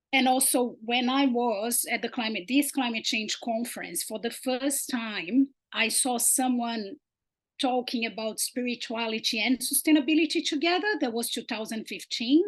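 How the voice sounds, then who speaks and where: A woman with a Portuguese accent talks at a moderate pace and high pitch. Her pitch variation is ordinary, against a quiet background. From Brazil. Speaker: sustainability researcher. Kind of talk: research presentation.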